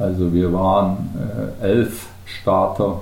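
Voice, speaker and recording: A man speaks at a very slow pace with a very deep, low pitch and fairly even intonation. Audible room echo surrounds his voice. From Bavarian Swabia, Germany (Unterallgäu near Kaufbeuren). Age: 50s. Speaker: ultrarunner, retiree. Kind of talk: podcast interview.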